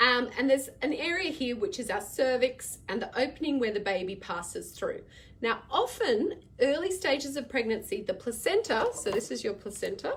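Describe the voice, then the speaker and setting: Against noticeable background noise, a high-pitched woman with an Australian accent talks with hardly any pauses and very wide pitch swings. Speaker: midwife answering parent questions. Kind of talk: live Q&A stream. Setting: live video stream. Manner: fast.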